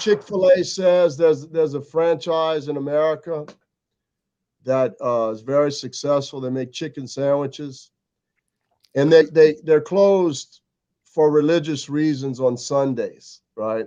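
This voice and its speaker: Man with a Louisiana accent, fairly high pitch, a dark, mellow tone, ordinary pitch variation, and a fairly slow pace over a quiet background. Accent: Louisiana Southern US. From US South. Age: 60s. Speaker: record label owner. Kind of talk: casual chat.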